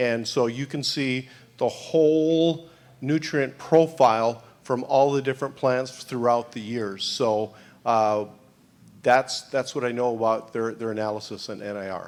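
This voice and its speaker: A man speaks with an American accent in an ordinary speaking voice. His pitch varies in an ordinary way, and the recording is very clean with a silent background. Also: medium pitch for a man, fairly slow pace. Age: 60s. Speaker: animal nutrition scientist. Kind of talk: conference Q&A answers. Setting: conference panel.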